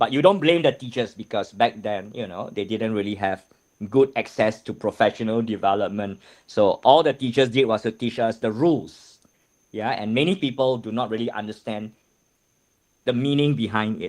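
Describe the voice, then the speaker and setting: A man talks at a moderate pace with medium pitch. He has a plain, everyday voice. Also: ordinary pitch variation. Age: 50s. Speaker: math teacher trainer. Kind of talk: lecture.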